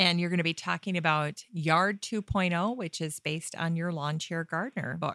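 Her voice is fairly low for a woman, with a bright, sharp tone and ordinary pitch variation. She keeps a moderate pace with hardly any pauses, and the sound is dry and close with no echo. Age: 40s. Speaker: gardening podcast host. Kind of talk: casual interview.

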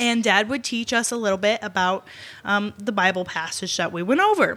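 In an American accent, an unremarkable speaking voice carries ordinary pitch variation. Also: woman. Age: 20s. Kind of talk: casual chat.

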